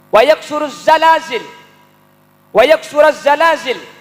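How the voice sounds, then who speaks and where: In a Madurese accent, a man speaks in a raised, projected voice at an extremely high pitch. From Madura, Indonesia. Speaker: Islamic preacher. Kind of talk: religious sermon. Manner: humorous.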